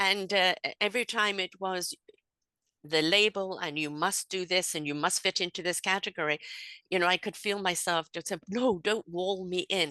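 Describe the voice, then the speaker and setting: Bright and sharp in tone, a woman speaks in a medium pitch with fairly even intonation. The sound is dry and close with no echo, against a quiet background. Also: moderate pace. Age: 70s. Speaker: spiritual coach and podcaster. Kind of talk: interview conversation.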